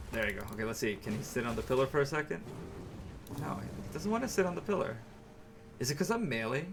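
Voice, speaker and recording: A man with an American accent speaks at a very fast pace with a fairly high pitch, very wide pitch swings and long, frequent pauses. Audible room echo and noticeable background noise are present. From New York. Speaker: video game streamer. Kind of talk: live gameplay commentary. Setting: live stream. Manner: casual, halting with fillers.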